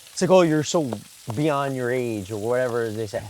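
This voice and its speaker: Over noticeable background noise, a man with a medium pitch talks very fast with lively intonation. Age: 20s. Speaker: photographer and podcast co-host. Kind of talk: casual chat. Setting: outdoors in the woods.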